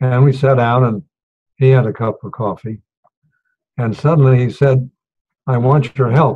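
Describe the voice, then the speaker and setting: Somewhat breathy and dark, mellow in tone, a man speaks at a medium pitch with fairly even intonation. His pace is moderate, broken by long, frequent pauses. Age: 90s. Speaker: retired diplomat. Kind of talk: storytelling speech.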